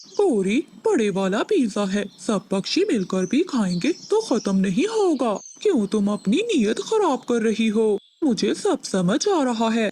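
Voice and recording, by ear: A cartoonish character voice sounds female, with a fairly high pitch. It moves at a fairly slow pace.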